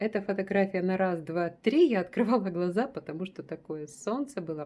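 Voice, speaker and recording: A woman's dark, mellow voice with ordinary pitch variation. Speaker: travel vlogger. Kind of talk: casual travel photo-walk narration. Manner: warm, chatty.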